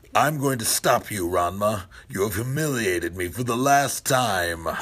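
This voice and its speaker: A man puts on a character voice with lively intonation. His pitch is fairly low and his pace moderate. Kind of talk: dubbed English voice-acting. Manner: melodramatic, menacing.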